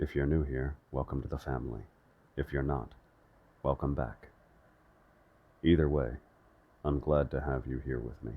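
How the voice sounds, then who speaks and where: A man's very deep, low voice with vocal fry, monotone and flat, at a moderate pace with long, frequent pauses. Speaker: ASMR audiobook reader. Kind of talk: casual intro to listeners.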